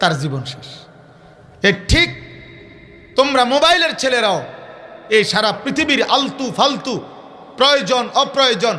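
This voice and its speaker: Raised and projected, a man's extremely high voice carries an animated tone and lively intonation over audible room echo and noticeable background noise. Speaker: Islamic preacher. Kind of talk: sermon. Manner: animated, emphatic repetition.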